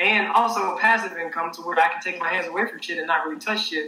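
A man with an Arkansas accent talks at a very fast pace in a high pitch, with ordinary pitch variation and noticeable background noise. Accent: Southern US (Arkansas). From Arkansas, US South. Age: 20s. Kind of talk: casual interview. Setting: online livestream.

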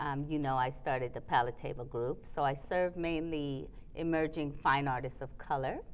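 At a moderate pace, a woman with a very deep, low voice talks with fairly even intonation. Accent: American. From Trinidad and New York. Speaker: curator and gallery owner. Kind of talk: casual chat. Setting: arts building.

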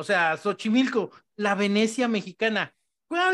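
The sound is dry and close with no echo as a high-pitched man talks at a very slow pace. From Mexico City. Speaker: podcast co-host. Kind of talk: casual discussion.

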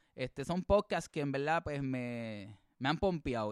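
The voice moves at a moderate pace with lively intonation. The sound is dry and close, with no echo. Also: man. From Puerto Rico, early childhood in US. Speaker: podcast co-host. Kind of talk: casual bilingual chat. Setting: remote recording.

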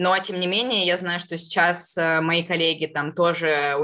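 Fairly low in pitch, a woman speaks at a moderate pace. She has a plain, everyday voice. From southern Russia. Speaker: marketing professional. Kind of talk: interview.

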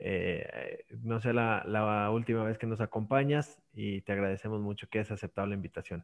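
A man with a plain, everyday voice at medium pitch and a moderate pace, fairly even intonation, a quiet background and a dry, close sound with no echo. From Mexico, Aguascalientes. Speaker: podcast host. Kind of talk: casual chat.

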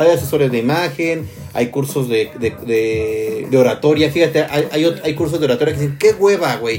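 With a Mexican accent, a man talks at a moderate pace with hardly any pauses, his pitch fairly high and ordinary in variation, while noticeable background noise runs underneath. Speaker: podcast host. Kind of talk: casual chat. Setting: live stream.

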